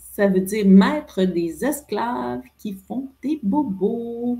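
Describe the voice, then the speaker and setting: Somewhat breathy woman with a Quebec accent, medium pitch and lively intonation. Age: 50s. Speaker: entrepreneur. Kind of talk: interview conversation. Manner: animated.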